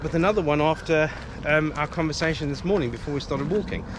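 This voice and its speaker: Noticeable background noise and audible room echo around fairly quick talking. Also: man. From South Africa. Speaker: police federation official. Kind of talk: casual interview while walking. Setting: outdoors. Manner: hesitant, many fillers.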